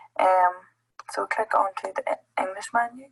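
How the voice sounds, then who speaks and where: With music in the background, a woman with a Northern Irish accent talks at a fairly quick pace in a medium pitch, with ordinary pitch variation and a dry, close sound with no echo. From Northern Ireland. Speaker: app presenter at education summit. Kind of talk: tutorial. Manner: hesitant, many fillers.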